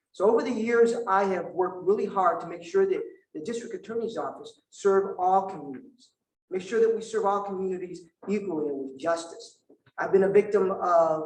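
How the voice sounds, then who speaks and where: A man with a high pitch talks at a fairly quick pace, with ordinary pitch variation and big swings in loudness. The room echo is audible. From Vietnam. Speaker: prosecutor, district attorney candidate. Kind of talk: candidate forum answer. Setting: indoor forum with audience.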